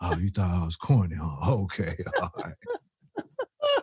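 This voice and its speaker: A man puts on a character voice with a very deep, low pitch. He speaks at a fairly slow pace. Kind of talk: street slang. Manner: mocking, put-on.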